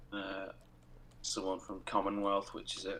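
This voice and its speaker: Here is a man speaking with a British accent. His pace is moderate. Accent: regional British. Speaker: co-host of a game livestream. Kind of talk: casual chat. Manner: loud.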